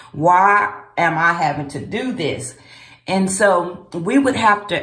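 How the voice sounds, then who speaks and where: Over audible room echo, a woman with a fairly low pitch speaks at a very slow pace with lively intonation. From US South, Memphis, Tennessee. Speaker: vlogger. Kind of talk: casual vlog monologue. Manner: conversational, with frequent fillers.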